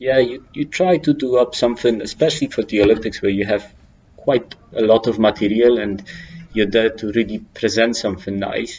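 Speaking with a Polish accent, a man talks at a moderate pace and a medium pitch. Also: ordinary pitch variation. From Poland. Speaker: climbing route setter. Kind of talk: interview. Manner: halting.

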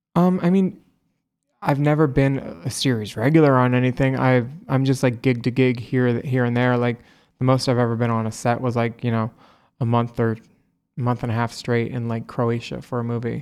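With an American accent and a normal speaking voice, the speaker keeps a moderate pace and fairly even intonation in a very clean recording with a silent background. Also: man, medium pitch for a man. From US East Coast (Florida, Philadelphia, New Jersey). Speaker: drag performer and actor. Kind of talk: casual chat.

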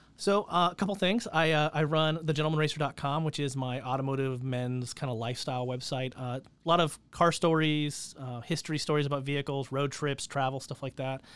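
In an ordinary speaking voice, a man with a fairly high pitch talks at a fairly quick pace with hardly any pauses and ordinary pitch variation, on a very clean recording with a silent background. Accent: American. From California. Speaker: motorsport event organizer and automotive journalist. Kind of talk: interview.

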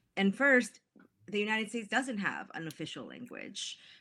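A woman speaks in a Spanish accent. The recording is very clean, with a silent background. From Mexico. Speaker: author. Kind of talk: interview about her book.

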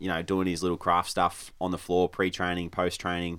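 In a very clean recording with a silent background, a man with an Australian accent talks at a fairly quick pace in a very deep, low voice. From rural Victoria, Australia. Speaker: professional footballer. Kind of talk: casual chat. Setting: studio.

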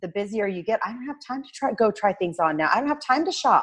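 Lively intonation and a medium pitch in a woman's voice. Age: 30s. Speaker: fitness guest, mother. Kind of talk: casual chat.

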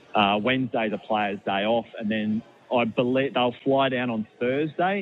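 A man speaks with an Australian accent. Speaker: sports journalist. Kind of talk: sports radio interview. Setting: phone line.

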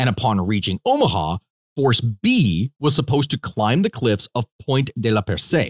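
A man at a fairly slow pace, dry and close with no echo. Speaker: podcast host. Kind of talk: casual chat. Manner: excitable, talks a lot.

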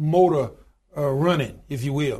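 A man speaks with an Alabama accent and lively intonation. The background is quiet. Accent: Southern US (Alabama). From US South, rural Alabama. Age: 60s. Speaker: union leader and pastor. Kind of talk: interview.

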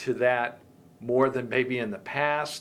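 This man speaks with an American accent at a medium pitch. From US, Virginia (Fairfax County). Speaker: podcast host. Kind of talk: interview. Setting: in-person interview.

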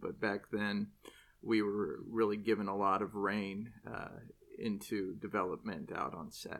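A man speaks with an American accent at a fairly low pitch. He keeps a moderate pace and a monotone, flat intonation. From Southern California (Irvine). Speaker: Broadway actor. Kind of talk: casual chat.

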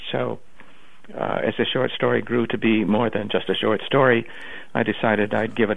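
This is a plain, everyday voice. A man speaks fairly quickly at a fairly low pitch. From Ontario, Canada. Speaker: author. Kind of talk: interview. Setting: phone call.

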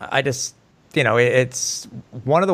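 A man talks at a fairly quick pace. He has a normal speaking voice with a medium pitch. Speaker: podcast host. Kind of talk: casual sports podcast chat. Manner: chatty, informal.

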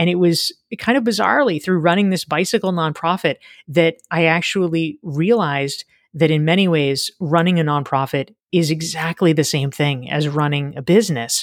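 A woman's plain, everyday voice, fairly low in pitch, at a moderate pace with ordinary pitch variation, the sound dry and close with no echo on a very clean recording with a silent background. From US South, North Carolina. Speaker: leadership consultant and author. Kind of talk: interview conversation.

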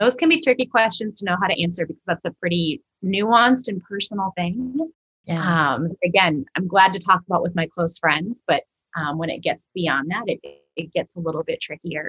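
A woman talks in a normal speaking voice at a moderate pace, her pitch medium with ordinary variation. The sound is dry and close, with no echo. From Minnesota. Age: 40s. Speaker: church ministry director and author. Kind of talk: podcast interview.

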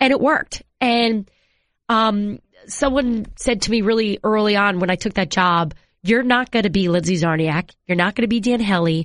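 Against a quiet background, a woman with an American accent and a plain, everyday voice speaks at a moderate pace, medium pitch and ordinary pitch variation, her loudness very even. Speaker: sports reporter. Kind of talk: casual interview chat.

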